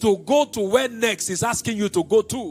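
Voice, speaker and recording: A man's lively intonation stands out against music in the background. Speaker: pastor, preacher. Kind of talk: sermon.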